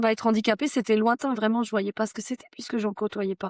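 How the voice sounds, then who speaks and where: Speaking at a very fast pace, a woman with a fairly high pitch keeps a fairly even intonation, on a very clean recording with a silent background and a dry, close sound with no echo. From France, Haute-Savoie. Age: 30s. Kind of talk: podcast interview, personal testimony.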